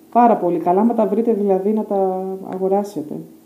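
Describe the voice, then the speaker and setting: A woman at a moderate pace amid audible room echo. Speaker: home vlogger. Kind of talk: casual vlog chat. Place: home room. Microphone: phone near.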